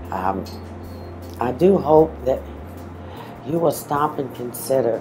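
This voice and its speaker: A woman keeps to a fairly slow pace while music plays in the background. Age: 60s. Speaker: bus driver. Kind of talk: testimony.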